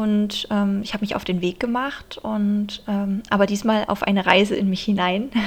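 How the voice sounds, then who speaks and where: A woman at a medium pitch speaks in a monotone, flat way with hardly any pauses. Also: moderate pace. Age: 30s. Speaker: podcast host and dance teacher. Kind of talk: casual monologue; scripted inspirational narration.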